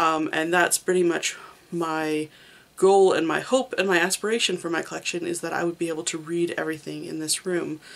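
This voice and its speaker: The woman speaks at a fairly low pitch with fairly even intonation. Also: fairly quick pace. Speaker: manga reviewer, video creator. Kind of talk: casual monologue, reading wrap-up. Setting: home, room full of manga shelves. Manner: hesitant, many fillers.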